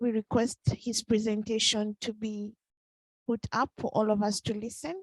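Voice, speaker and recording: A woman with a non-native accent, fairly high-pitched and somewhat breathy, at a moderate pace, her intonation monotone and flat, in a dry, close sound with no echo. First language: not English. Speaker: meeting moderator. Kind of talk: moderating a meeting.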